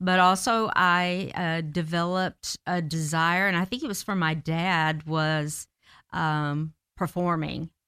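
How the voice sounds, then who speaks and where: On a very clean recording with a silent background and a dry, close sound with no echo, a woman in a Southern US accent speaks very slowly at a fairly low pitch, her bright, sharp tone carried by fairly even intonation. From US South, Marietta, Georgia. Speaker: theater director and actress. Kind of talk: interview. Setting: studio.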